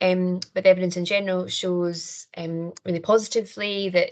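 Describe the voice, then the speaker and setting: Speaking in a Scottish accent, a woman keeps a monotone, flat intonation at a fairly low pitch. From Scotland. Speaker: criminology lecturer and researcher. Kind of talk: conference presentation. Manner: fast.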